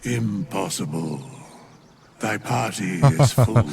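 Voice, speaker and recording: A man's put-on character voice, fairly low in pitch and fairly slow in pace. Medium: video game. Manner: archaic, grave, deliberate.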